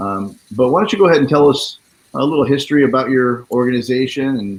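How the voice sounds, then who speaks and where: A man speaks in a normal speaking voice with an American accent. He goes at a moderate pace with a medium pitch and lively intonation. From Florida. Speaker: talk show host. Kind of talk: live interview.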